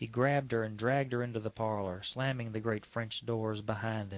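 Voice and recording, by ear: The intonation stays fairly even as someone is reading aloud in a natural voice.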